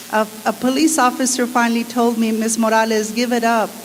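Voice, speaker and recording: Noticeable background noise sits behind the voice. A woman talks at a moderate pace. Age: 60s. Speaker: attorney speaking at a public meeting. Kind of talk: public comment at a community forum.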